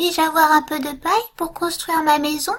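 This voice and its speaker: A woman puts on a squeaky character voice at an extremely high pitch. She talks at a fairly quick pace. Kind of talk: bedtime story. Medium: read story. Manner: polite, small.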